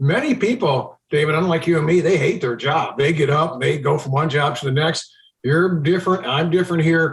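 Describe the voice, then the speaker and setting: At a moderate pace, a man with an American accent talks in a fairly high pitch with ordinary pitch variation. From Chicago area, US Midwest. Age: 60s. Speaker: TV meteorologist. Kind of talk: podcast interview.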